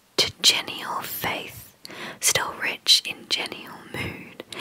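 Soft-spoken and whispering, the voice moves at a very slow pace over light background noise. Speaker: poetry reader. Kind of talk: reading poetry aloud. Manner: soft close-mic whispered poetry reading. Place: home room. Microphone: studio mic.

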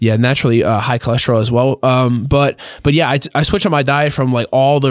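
A man at a moderate pace with fairly even intonation, dry sound with no echo, and a quiet background. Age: young. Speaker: professional grappler; podcast guest. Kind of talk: casual chat. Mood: relaxed, conversational. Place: studio. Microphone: studio mic.

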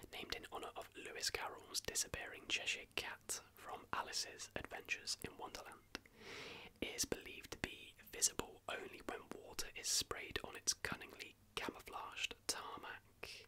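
A man whispers at a moderate pace, soft-spoken throughout. There is light background noise. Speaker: video host. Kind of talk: casual commentary on conspiracy theories. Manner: soft close ASMR whisper. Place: home room.

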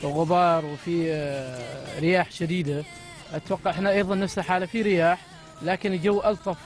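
A man's high-pitched voice at a fairly slow pace, with fairly even intonation, a dry sound with no echo and clear music in the background. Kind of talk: interview answer. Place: car. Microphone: handheld.

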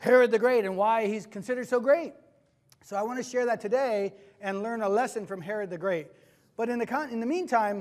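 Over a quiet background, a man with a high pitch talks at a fairly quick pace and ordinary pitch variation. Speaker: preacher. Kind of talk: sermon. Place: church.

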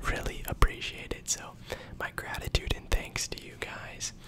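The man speaks in a whisper. His delivery is fairly slow. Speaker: ASMR creator. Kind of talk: casual talk to camera. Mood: warm, grateful. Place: home room. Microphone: studio mic.

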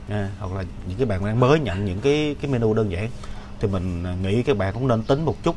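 Light background noise runs beneath a man speaking fairly quickly. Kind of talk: casual explanatory talk. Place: workshop. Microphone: webcam.

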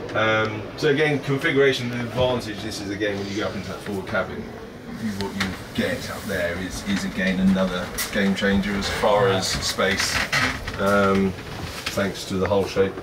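Noticeable background noise accompanies a man's voice. He moves at a moderate pace with ordinary pitch variation. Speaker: boat salesman. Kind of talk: informal sales talk during tour.

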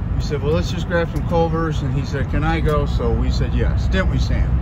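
This man talks through loud background noise. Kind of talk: casual vlog chat. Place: car. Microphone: phone near.

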